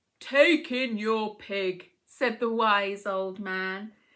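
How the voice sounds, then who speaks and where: A woman's put-on character voice at a medium pitch and a very slow pace, on a very clean recording with a silent background. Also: ordinary pitch variation. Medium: read story. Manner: calm, measured.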